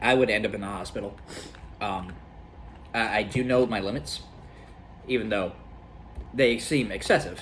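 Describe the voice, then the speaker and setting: A man with fairly low pitch and ordinary pitch variation, moderate pace, long and frequent pauses, audible room echo. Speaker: gaming youtuber doing food challenge. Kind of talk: casual vlog talk to camera. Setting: at home with friends and family. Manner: halting, bumbling.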